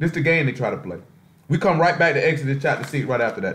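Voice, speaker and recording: Very fast and with vocal fry, a man with an American accent talks at a fairly high pitch with ordinary pitch variation. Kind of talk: casual, preaching. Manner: emphatic, confident.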